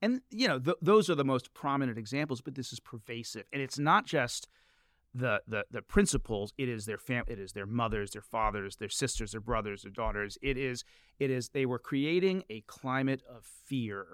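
A man with an American accent has an unremarkable speaking voice at medium pitch, with lively intonation and big swings in loudness at a moderate pace. The sound is dry and close with no echo, a very clean recording with a silent background. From Washington DC area. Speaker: journalist and author. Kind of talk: casual interview conversation. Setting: studio.

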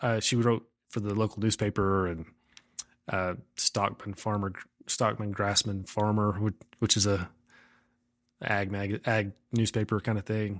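A man with an American accent has an ordinary speaking voice, fairly low in pitch, and speaks at a fairly slow pace. The sound is dry and close with no echo, in a very clean recording with a silent background. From Texas Panhandle, farm near Umbarger. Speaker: poet. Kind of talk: casual chat.

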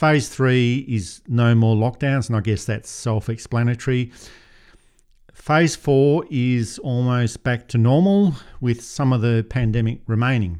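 Speaking fairly slowly with an Australian accent, a man keeps a medium pitch with ordinary pitch variation. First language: not English. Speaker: podcast host, editor. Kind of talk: political commentary podcast.

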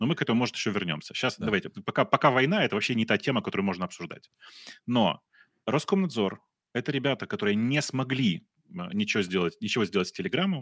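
A man's very fast speech with very wide pitch swings and long, frequent pauses, in dry, close sound with no echo. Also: medium pitch for a man, very clean recording, silent background. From Russia. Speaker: podcast co-host. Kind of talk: casual chat. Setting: livestream.

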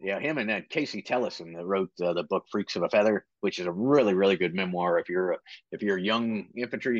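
A man talks in a plain, everyday voice with an American accent. His pitch is fairly low, his pace fairly quick, and his pitch variation ordinary. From Virginia / West Virginia border, US. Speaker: retired Marine, military training director. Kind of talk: casual interview.

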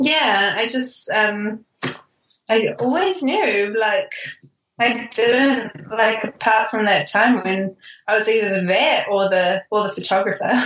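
With a New Zealand accent, a woman speaks at a very slow pace and a fairly high pitch, keeping very even loudness and ordinary pitch variation. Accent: Kiwi. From New Zealand (Auckland), born in Australia. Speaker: wedding photographer. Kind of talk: casual interview chat. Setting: remote call.

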